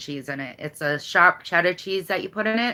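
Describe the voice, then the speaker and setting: A woman with a strong Boston accent and a bright, sharp tone, on a very clean recording with a silent background. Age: 40s. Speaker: YouTuber. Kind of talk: casual chat.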